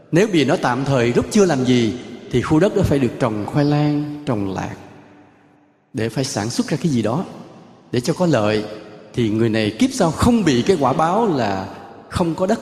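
A man's fairly high, somewhat breathy voice at a moderate pace, with very wide pitch swings and long, frequent pauses. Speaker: Buddhist monk giving a dharma talk. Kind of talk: sermon. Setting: temple ceremony with audience.

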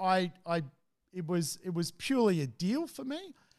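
Lively intonation comes through in an Australian accent on a very clean recording with a silent background. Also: man. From Australia, Sydney. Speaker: real estate investor. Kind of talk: casual chat. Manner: halting.

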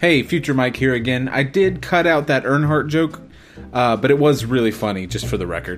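With lively intonation and a medium pitch, a man speaks at a fairly quick pace over noticeable background noise. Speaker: podcast host. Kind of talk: comedic bonus round quiz. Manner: doing a radio voice.

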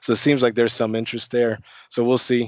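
A man with a Chicago accent, medium in pitch, in a monotone, flat intonation. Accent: faint Chicago. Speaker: network engineer. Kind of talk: casual chat. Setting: video call.

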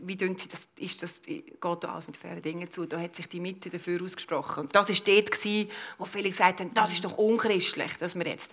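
With a normal speaking voice at medium pitch, a woman talks at a fairly quick pace with hardly any pauses, ordinary pitch variation and big swings in loudness. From Switzerland, Lucerne. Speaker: politician and business owner. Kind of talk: public panel discussion. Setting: live event at an exhibition venue.

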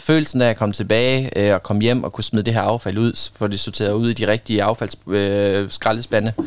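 Speaking in an ordinary speaking voice, a man talks at a fairly low pitch with fairly even intonation. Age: 20s. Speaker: volunteer litter picker. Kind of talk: casual interview. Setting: studio.

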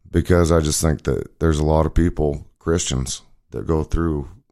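At a moderate pace, a man talks with an American accent. His pitch is very deep and low, and the recording is very clean with a silent background. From Wyoming, US (Cody). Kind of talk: testimony.

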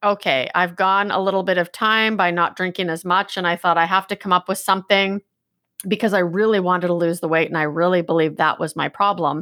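In a Canadian accent, a woman talks at a moderate pace with fairly even intonation. It is an ordinary speaking voice. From Canada, British Columbia. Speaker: life coach and performance consultant. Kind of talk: interview, personal recovery story. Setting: remote call.

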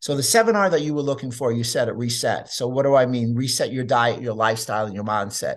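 Against a quiet background, a man with an American accent talks at a very fast pace, using a medium pitch and lively intonation. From US Northeast, New York City. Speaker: chiropractor and nutrition author. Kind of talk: interview.

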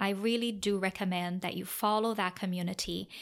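She has a Portuguese accent and a medium pitch. Her pitch variation is ordinary. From Brazil. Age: 30s. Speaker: podcast host. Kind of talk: personal storytelling monologue.

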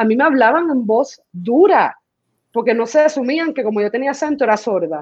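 A woman with a high voice talks fairly quickly, her intonation lively. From Puerto Rico, raised partly in the US. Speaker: performance artist and choreographer. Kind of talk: casual interview.

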